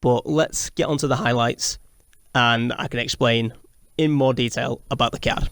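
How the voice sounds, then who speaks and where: At a moderate pace, a man with a medium pitch speaks with fairly even intonation. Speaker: gaming youtuber. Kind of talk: game commentary. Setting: home recording late at night. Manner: quieter than usual.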